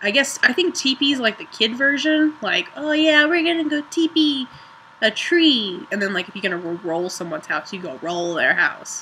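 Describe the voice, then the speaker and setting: A woman's raised, projected voice in a northern US accent, high in pitch with very wide pitch swings, at a moderate pace over noticeable background noise. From Ohio, northern US. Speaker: vlogger. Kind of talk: casual vlog, accent challenge.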